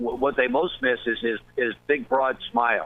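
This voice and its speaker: Noticeable background noise sits under a man's voice. He speaks at a moderate pace with a fairly high pitch and lively intonation. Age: 60s. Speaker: baseball manager. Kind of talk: casual chat. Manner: halting.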